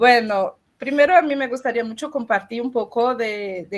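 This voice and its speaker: A woman speaks at a fairly slow pace in a fairly high pitch. Her pitch varies in an ordinary way. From Brazil, Amazon rainforest region. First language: Portuguese (speaking Spanish). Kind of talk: panel talk.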